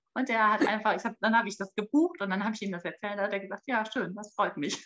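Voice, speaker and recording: A woman's voice at medium pitch. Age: 30s. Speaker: mother and marketing employee. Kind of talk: interview. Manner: halting, many fillers.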